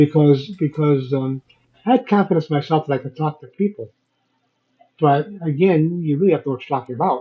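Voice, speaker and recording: A somewhat breathy man speaks at a fairly quick pace and fairly high pitch. His pitch varies ordinarily while his loudness swings widely. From Chicago, US Midwest. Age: 70s. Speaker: business owner and entrepreneur. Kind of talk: interview conversation.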